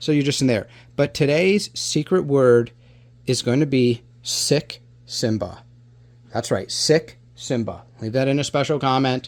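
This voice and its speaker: Animated in tone, a man speaks at a fairly slow pace with a medium pitch and ordinary pitch variation. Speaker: reptile rescue youtuber. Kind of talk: educational vlog talking to camera. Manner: loud; animated, conversational.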